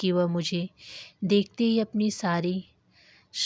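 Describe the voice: The text is read aloud plainly. Nothing more is added to the delivery.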